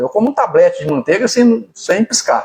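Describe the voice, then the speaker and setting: Moving at a fairly quick pace, a man's dark, mellow voice rises and falls in very wide pitch swings. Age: 70s. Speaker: interviewee, local public figure. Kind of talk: radio interview. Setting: radio studio. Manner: halting, many repetitions.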